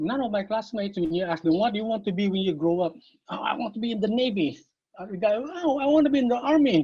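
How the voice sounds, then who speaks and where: In a Visayan Filipino accent, a man talks very fast at a high pitch, with very wide pitch swings. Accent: Filipino (Cebuano) English. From Philippines, Cebu City. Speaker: martial arts master. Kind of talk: interview.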